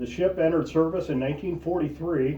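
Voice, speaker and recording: In an ordinary speaking voice, a man talks at a fairly quick pace with ordinary pitch variation. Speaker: American Legion member. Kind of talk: interview questions.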